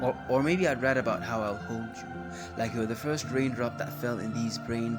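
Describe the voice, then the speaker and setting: Music plays in the background as this man talks at a moderate pace. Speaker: spoken word poet. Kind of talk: spoken word poetry performance.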